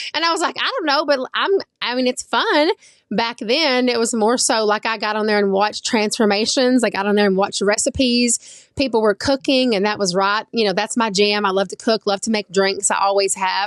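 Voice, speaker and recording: With an Oklahoma accent, a woman speaks at a fairly quick pace and a fairly high pitch with ordinary pitch variation, in a dry, close sound with no echo over a quiet background. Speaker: social media influencer. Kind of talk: interview. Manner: casual, conversational.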